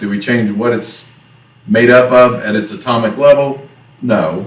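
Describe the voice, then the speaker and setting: A man with a Southern US accent speaks at a fairly slow pace, with audible room echo around him. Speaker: teacher. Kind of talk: lecture. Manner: casual.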